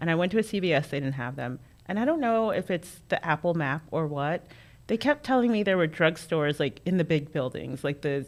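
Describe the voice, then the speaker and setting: A normal speaking voice with an American accent moves at a fairly quick pace with lively intonation on a very clean recording with a silent background. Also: woman, fairly low pitch for a woman. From North Carolina (Creedmoor), earlier Queens, New York. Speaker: political strategist. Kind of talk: casual chat.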